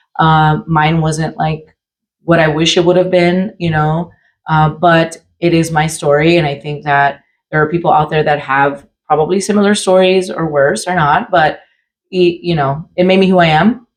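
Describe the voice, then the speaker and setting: A woman with an unremarkable speaking voice talks at a moderate pace with a fairly low pitch, fairly even intonation, and an American accent. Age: 40s. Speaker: podcast co-host. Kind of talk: casual chat.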